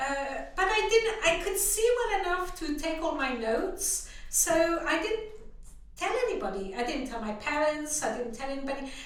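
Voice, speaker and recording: Speaking in a French accent at a moderate pace, a woman's extremely high voice makes very wide pitch swings amid audible room echo and noticeable background noise. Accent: French accent, still has it. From France. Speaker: visually impaired guest sharing her story. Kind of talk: interview. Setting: podcast.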